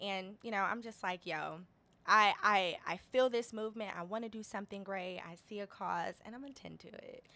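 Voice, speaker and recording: Bright and sharp in tone, this American-accented voice moves at a moderate pace with fairly even intonation and big swings in loudness. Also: woman, medium pitch for a woman. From Detroit, Michigan. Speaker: social enterprise founder and day trader. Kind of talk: interview, casual chat.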